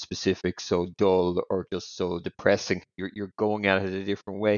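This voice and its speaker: In an Irish accent, a man speaks with a very deep, low pitch. His delivery is monotone and flat at a moderate pace. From Ireland. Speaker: podcast co-host. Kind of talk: casual interview. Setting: evening recording.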